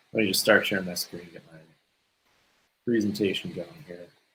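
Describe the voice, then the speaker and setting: A man's fairly low, bright, sharp voice in an American accent, at a moderate pace with long, frequent pauses. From California. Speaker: solutions engineer. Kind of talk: technical webinar presentation. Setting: video webinar.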